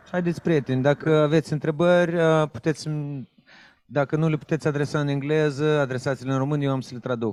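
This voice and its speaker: Fairly high-pitched and with fairly even intonation, a man with a Romanian accent talks at a very fast pace in a dry, close recording with no echo. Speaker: event moderator and interpreter. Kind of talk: moderating a master class.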